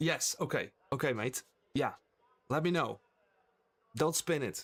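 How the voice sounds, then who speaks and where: A man speaks in a fairly high pitch with vocal fry. His pace is fairly slow and his pitch variation ordinary. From Netherlands (Friesland). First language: Frisian. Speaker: sim racing streamer. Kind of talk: live gaming stream chat. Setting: live stream. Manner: casual, chatty.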